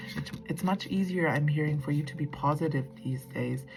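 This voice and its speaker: Noticeable background noise runs under a woman's voice. She speaks fairly slowly at a very deep, low pitch. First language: not English. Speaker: tarot reader. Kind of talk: tarot reading monologue. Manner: casual, hesitant with fillers.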